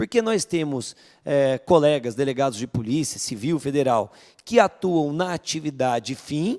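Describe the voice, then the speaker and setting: A man with an interior São Paulo accent speaks at a fairly slow pace, his fairly high voice carrying lively intonation over a very clean recording with a silent background. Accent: interior paulista accent (caipira r). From interior of São Paulo state, Vale do Paraíba (Guaratinguetá). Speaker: police chief. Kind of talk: panel discussion.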